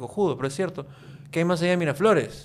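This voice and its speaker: Over light background noise, a man talks very fast with fairly even intonation. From Peru, Lima; Peru. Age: 40s. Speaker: YouTube content creator. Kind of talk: casual interview chat. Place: studio. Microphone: studio mic.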